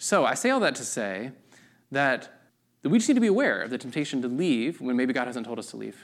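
With lively intonation and a fairly quick pace, a man speaks in an unremarkable speaking voice at medium pitch, captured in a very clean recording with a silent background. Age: 30s. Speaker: pastor. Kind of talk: sermon. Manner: casual, conversational with fillers.

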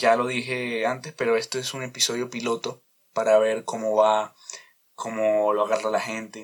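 The man talks at a moderate pace and medium pitch. His intonation is monotone and flat. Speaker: podcast host. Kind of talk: casual monologue. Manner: loud; halting.

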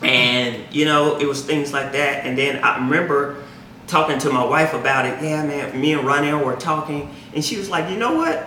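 Noticeable background noise runs through the recording. A man talks with fairly even intonation. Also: fairly high pitch for a man, moderate pace. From Mississippi Delta. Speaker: faith podcast co-host. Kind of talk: casual conversation on faith and race; prayer.

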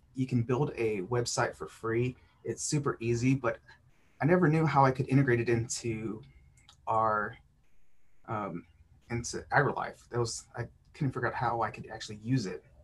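A man talks with a somewhat breathy voice. He leaves long, frequent pauses. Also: medium pitch for a man, ordinary pitch variation, moderate pace. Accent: American. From South Texas. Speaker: youth development agent. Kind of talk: casual interview.

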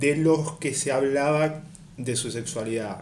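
Speaking at a fairly slow pace, a man with a fairly high pitch shows ordinary pitch variation against audible room echo. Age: 30s. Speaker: podcast panelist. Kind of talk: casual discussion.

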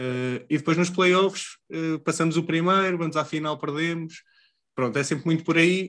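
A man speaks in a normal speaking voice at a moderate pace, his fairly high pitch carried on fairly even intonation against a quiet background. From Portugal, Leiria. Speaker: podcast co-host. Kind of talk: casual chat.

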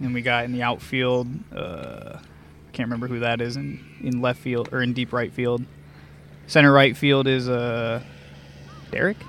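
Over noticeable background noise, a man with medium pitch speaks with long, frequent pauses. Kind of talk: sports commentary. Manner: quick play-by-play, excited and joking.

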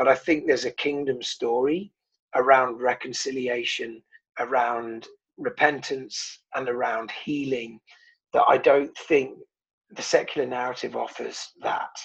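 A man talks with a southern English accent. His pace is fairly slow. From southern England. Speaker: pastor. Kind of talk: interview. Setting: video call.

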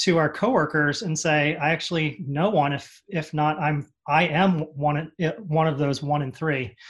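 A man talks in a normal speaking voice. His pitch is fairly high, with fairly even intonation. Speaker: advertising creative leader, guest. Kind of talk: interview answers.

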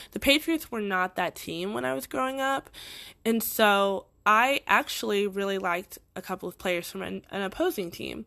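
The tone is bright and sharp, with very wide pitch swings and big swings in loudness. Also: woman, medium pitch for a woman, moderate pace, very clean recording, silent background. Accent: slight Boston. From Boston, Massachusetts.

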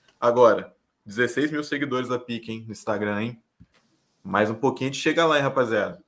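In a normal speaking voice, a man talks at a fairly quick pace. His pitch is medium, with ordinary variation. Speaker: podcast co-host. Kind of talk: casual chat.

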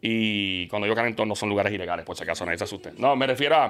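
A man of medium pitch talks at a very fast pace with ordinary pitch variation. The recording is very clean with a silent background. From Puerto Rico, partly raised in Queens, New York. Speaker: radio and TV host. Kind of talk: casual interview chat. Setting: studio. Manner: animated.

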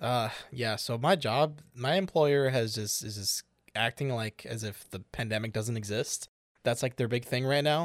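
A man with an American accent and a plain, everyday voice, at a moderate pace with ordinary pitch variation, on a very clean recording with a silent background and a dry, close sound with no echo. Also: medium pitch for a man. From Chicago. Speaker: podcast co-host. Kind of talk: casual chat. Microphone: new microphone.

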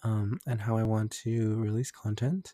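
A man speaks at a medium pitch with fairly even intonation and a dark, mellow, somewhat breathy tone, recorded very cleanly with a silent background and a dry, close sound without echo. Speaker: solo podcaster. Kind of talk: casual monologue. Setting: home recording with keyboard and mouse. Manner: hesitant, many fillers.

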